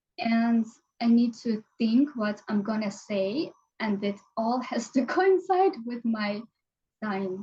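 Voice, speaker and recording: Pausing long and often, a woman speaks at a very slow pace in a fairly high pitch with lively intonation. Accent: Ukrainian. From Ukraine. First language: Ukrainian. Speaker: language teacher and marketing consultant. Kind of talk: casual interview chat.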